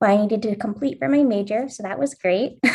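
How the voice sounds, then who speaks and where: In an American accent, an unremarkable speaking voice moves at a fairly quick pace. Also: woman. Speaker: study abroad alum, grad student. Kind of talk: panel introduction.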